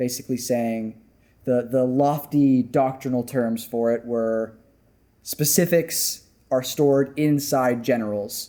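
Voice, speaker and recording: The speaker uses a dark, mellow tone at a fairly slow pace, with fairly even intonation. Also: man. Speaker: theology student, podcast co-host. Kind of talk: casual chat.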